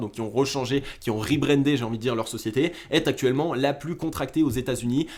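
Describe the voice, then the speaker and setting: Speaking at a very fast pace, a man with a fairly high pitch keeps an animated tone. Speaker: crypto market analyst YouTuber. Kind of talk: chart analysis commentary.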